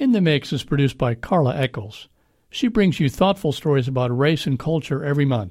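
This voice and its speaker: A fairly high, somewhat breathy male voice at a fairly quick pace with lively intonation, on a very clean recording with a silent background. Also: very even loudness. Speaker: radio host. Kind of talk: news reading.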